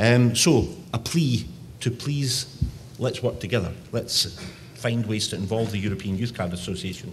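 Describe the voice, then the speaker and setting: Someone with a strong Scottish accent speaks at a moderate pace with ordinary pitch variation, and audible room echo can be heard. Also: man. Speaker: youth organisation director. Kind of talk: conference presentation. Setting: conference session.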